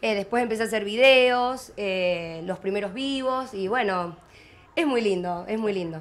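A woman speaks at a fairly slow pace and medium pitch with ordinary pitch variation. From Argentina, Córdoba province (Monte Maíz); Córdoba, Argentina. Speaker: agricultural social media influencer; interviewee. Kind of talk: interview. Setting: mobile studio at a rural exhibition. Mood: relaxed, friendly. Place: market. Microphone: handheld.

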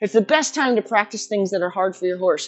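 A woman speaks in a fairly high pitch. Her voice swings very widely up and down. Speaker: horse trainer. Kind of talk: casual talk to camera. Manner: fast. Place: farm machine.

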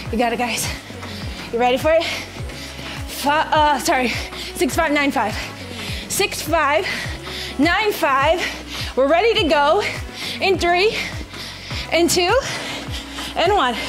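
A woman talks at a very slow pace in a high pitch, with long, frequent pauses. Clear music plays in the background. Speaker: fitness instructor. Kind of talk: workout coaching cues. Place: home room.

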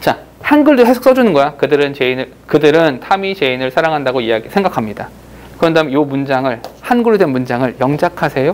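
Lively in intonation, a man talks at a fairly quick pace and a fairly high pitch. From South Korea. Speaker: English grammar teacher. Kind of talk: lecture. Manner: animated. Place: classroom.

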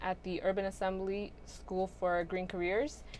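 A woman with an American accent and fairly even intonation, over light background noise. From Brooklyn, New York (Sunset Park); New York City. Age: 20s. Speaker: youth organizer; guest. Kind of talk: casual chat. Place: studio. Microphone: lapel.

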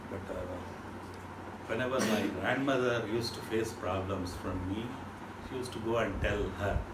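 Loud background noise fills the recording. Through it, a man talks at a moderate pace. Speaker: interview guest. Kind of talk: interview answer, storytelling. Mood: warm, nostalgic, amused. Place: home room. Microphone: camera far.

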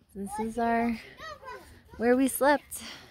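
Over crowd noise in the background, a woman speaks at a high pitch in a dry sound with no echo. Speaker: parent vlogger filming. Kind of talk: casual vlog chat. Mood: cheerful, admiring. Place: forest. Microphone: phone near.

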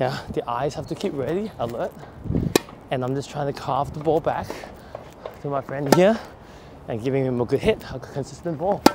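A man talks at a moderate pace with ordinary pitch variation. His sound is dry with no echo, over loud background noise. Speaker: tennis coach. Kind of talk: running commentary while playing. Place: open country. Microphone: lapel.

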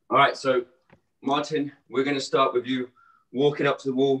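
A man at a moderate pace, with audible room echo. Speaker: fitness coach. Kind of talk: instruction. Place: home room.

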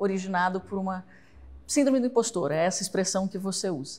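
Dark, mellow, somewhat breathy speech from a woman. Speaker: interviewer, host. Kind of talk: interview introduction and question. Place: studio. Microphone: lapel.

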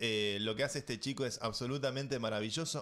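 A man with an Argentine accent at a fairly quick pace, with ordinary pitch variation. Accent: Argentine Spanish (Rioplatense). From Argentina. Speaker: tech podcast host. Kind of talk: casual chat. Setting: studio. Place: studio. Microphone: studio mic.

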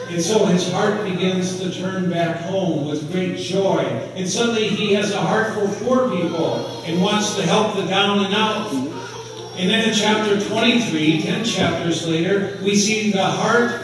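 Against strong room echo and faint background music, a man talks fairly slowly at a high pitch with fairly even intonation. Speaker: pastor. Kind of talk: sermon. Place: church.

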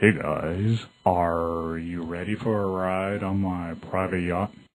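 A put-on character voice from a man, very deep and low, at a fairly slow pace. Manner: put-on, posh showy voice.

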